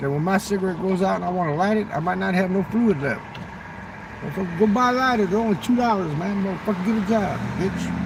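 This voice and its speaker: Very fast and animated, a man speaks high for a man with ordinary pitch variation. Audible room echo and noticeable background noise fill the recording. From southern Mexico (Chiapas). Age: 60s. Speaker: livestreamer. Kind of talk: casual livestream chat.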